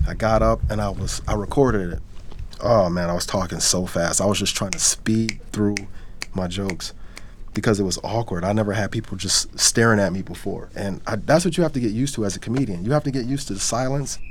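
A man with an American accent talks at a very fast pace and a fairly low pitch over noticeable background noise. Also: ordinary pitch variation. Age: 40s. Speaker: comedian and forklift operator. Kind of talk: casual interview talk.

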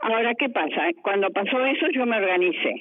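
At a moderate pace, a woman speaks. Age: 80s+. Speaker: retiree. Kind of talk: interview.

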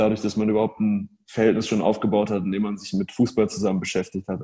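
The man speaks with a dark, mellow tone. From northern Germany, near Hamburg. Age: 20s. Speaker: football match analyst. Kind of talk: podcast interview.

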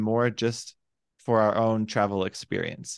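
An ordinary speaking voice at a moderate pace against a quiet background. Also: man. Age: 20s. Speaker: digital nomad and life purpose coach. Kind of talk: casual interview chat.

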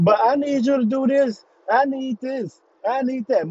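Putting on a whiny character voice, a man speaks at a moderate pace in an extremely high pitch. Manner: whiny, mocking, selfish.

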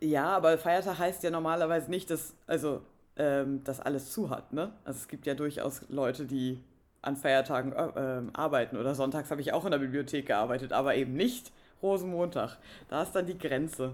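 Speaking at a moderate pace, a woman uses a very deep, low pitch with ordinary pitch variation. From northern Germany. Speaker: podcast co-host. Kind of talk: casual chat.

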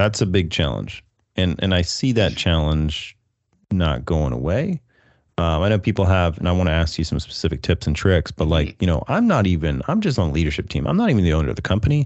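A man's very deep, low pitch with vocal fry, lively intonation and a fairly quick pace. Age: 30s. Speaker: marketing podcast host, MSP business owner. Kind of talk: casual interview chat. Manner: animated.

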